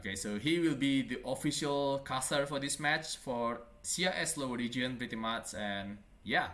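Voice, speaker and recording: A man with a non-native accent speaks at a moderate pace in a medium pitch, his tone bright and sharp with ordinary pitch variation. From Indonesia. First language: not English. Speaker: esports caster. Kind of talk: live game commentary. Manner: halting.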